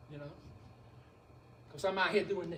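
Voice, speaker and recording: With audible room echo, a man in a Southern US accent talks in an animated tone with ordinary pitch variation. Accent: sounds like an old Southern preacher. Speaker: beekeeping presenter. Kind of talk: lecture. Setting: beekeepers club meeting. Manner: animated, folksy.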